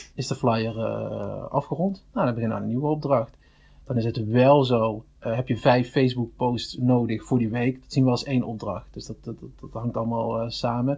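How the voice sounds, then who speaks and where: A somewhat breathy man at medium pitch, at a moderate pace with fairly even intonation and big swings in loudness. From Netherlands, Limburg (Venlo). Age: 30s. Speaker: online marketing specialist. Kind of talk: casual interview. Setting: studio. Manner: halting, many repetitions.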